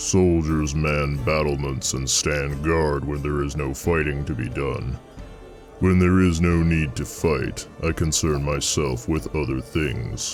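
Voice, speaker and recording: With clear music playing behind him, a man uses a put-on character voice at a fairly slow pace. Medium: read story. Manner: plain-spoken, steady.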